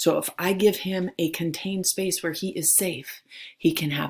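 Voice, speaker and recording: A woman's animated voice, pitched fairly low for a woman. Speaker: high school theology teacher. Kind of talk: recorded lecture for students.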